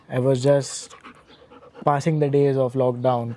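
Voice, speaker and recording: A man speaks at a medium pitch and a moderate pace. Noticeable background noise runs behind him. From India (Mumbai). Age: 20s. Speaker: calisthenics athlete and coach. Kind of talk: casual interview chat.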